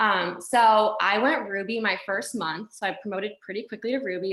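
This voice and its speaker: A woman speaks with fairly even intonation and a bright, sharp tone. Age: 20s. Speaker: network marketing distributor. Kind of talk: motivational testimony. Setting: video call. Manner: casual, filler-heavy.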